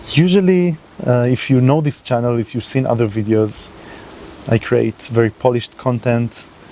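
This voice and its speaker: A man speaks at medium pitch and a moderate pace. Noticeable background noise runs underneath. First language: not English. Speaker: environmental video creator. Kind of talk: unscripted monologue to camera. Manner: halting, with fillers.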